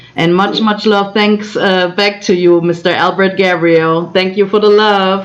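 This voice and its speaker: In a German accent, a woman at a medium pitch talks at a fairly slow pace with hardly any pauses, very even loudness and flat, monotone intonation over noticeable background noise. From Germany. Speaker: co-host of livestream. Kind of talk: casual livestream chat. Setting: virtual livestream.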